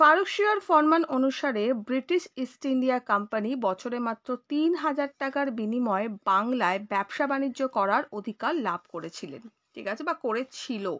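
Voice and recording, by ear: A woman talks at a moderate pace in a high voice with a fairly bright tone. Her intonation is lively.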